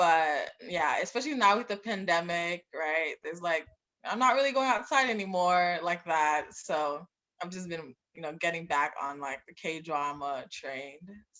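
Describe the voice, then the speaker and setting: An ordinary speaking voice: a woman with a fairly low pitch, lively intonation, big swings in loudness and a fairly slow pace. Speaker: club founder, pre-med graduate. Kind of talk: casual chat. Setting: podcast.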